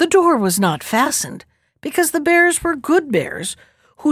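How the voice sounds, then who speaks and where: A warm, animated tone with very wide pitch swings on a very clean recording with a silent background. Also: woman. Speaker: librarian storyteller. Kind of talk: fairy-tale narration, storytime reading aloud. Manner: warm, gently animated storyteller pacing.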